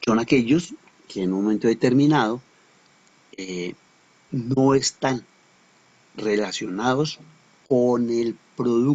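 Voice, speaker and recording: Medium in pitch with ordinary pitch variation, a man talks at a very slow pace. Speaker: teacher. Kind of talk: lecture.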